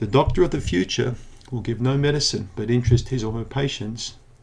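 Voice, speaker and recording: A man with a dark, mellow tone speaks at medium pitch and a fairly quick pace. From New Zealand. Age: 60s. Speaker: naturopath. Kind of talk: educational monologue. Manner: animated.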